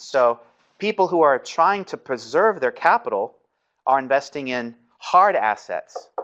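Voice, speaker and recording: Against a quiet background, a man speaks with a fairly high pitch. His pitch swings very widely. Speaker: seminary professor. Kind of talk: lecture.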